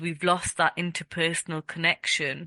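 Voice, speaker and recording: A woman's bright, sharp tone at a fairly low pitch, moderate in pace, in a dry, close recording without echo. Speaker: podcast host. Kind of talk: podcast interview.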